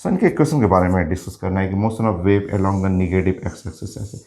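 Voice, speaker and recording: A man's very deep, low voice, dark and mellow, with fairly even intonation. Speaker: physics teacher. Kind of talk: lecture. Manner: halting.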